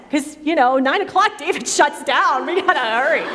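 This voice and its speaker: A woman speaks with lively intonation. Audible room echo and noticeable background noise are present. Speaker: women's ministry event host. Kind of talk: church women's event talk with panel. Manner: animated.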